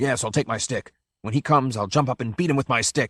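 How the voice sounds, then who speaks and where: Putting on a growling character voice, a man speaks at medium pitch and a very fast pace. The sound is dry and close with no echo. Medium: read story. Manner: plaintive, twitchy.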